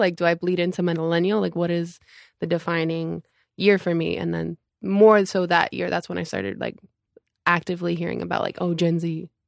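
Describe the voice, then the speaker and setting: In a normal speaking voice pitched fairly low, a woman talks at a fairly quick pace, the sound dry and close with no echo and the recording very clean over a silent background. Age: 20s. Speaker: church member, worship volunteer. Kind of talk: casual interview.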